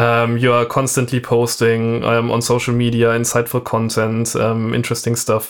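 A man with a German accent, medium pitch, moderate pace, on a very clean recording with a silent background. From southern Germany. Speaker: drum and bass podcast co-host and music producer. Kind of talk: casual chat. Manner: halting, many fillers.

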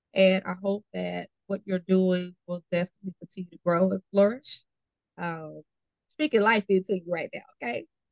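A woman with an American accent at a medium pitch and moderate pace, in a dry, close sound with no echo. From Austin, Texas. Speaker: podcast host. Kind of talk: interview, casual chat. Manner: animated.

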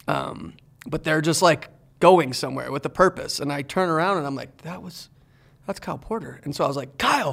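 Speaking at a fairly quick pace, a man with fairly high pitch and vocal fry shows ordinary pitch variation and big swings in loudness. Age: 40s. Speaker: podcast host. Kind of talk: casual chat. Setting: studio.

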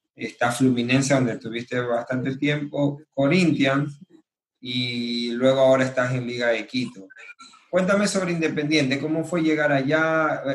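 In an unremarkable speaking voice, a man talks at a fairly slow pace, medium in pitch with ordinary variation. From Ecuador (Manabí). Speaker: podcast host. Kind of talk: casual interview.

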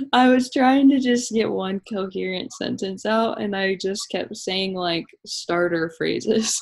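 A woman uses an ordinary speaking voice at medium pitch with ordinary pitch variation. Her pace is fairly slow, with hardly any pauses. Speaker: podcast co-host. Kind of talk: casual chat.

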